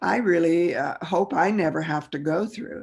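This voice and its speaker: Fairly slow speech with vocal fry on a very clean recording with a silent background. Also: woman. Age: 80s+. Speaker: spiritual teacher. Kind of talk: lecture. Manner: halting.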